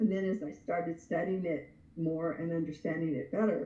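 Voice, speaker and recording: A woman's fairly low, somewhat breathy voice with a dark, mellow tone, at a moderate pace, with audible room echo. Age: 60s. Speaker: anger management expert. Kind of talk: casual interview chat.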